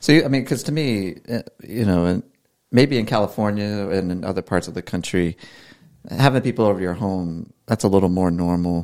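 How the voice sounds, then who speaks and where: A man with a plain, everyday voice and a fairly low pitch talks at a moderate pace with ordinary pitch variation, in a very clean recording with a silent background. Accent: American. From Maryland. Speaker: podcast host. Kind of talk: casual chat.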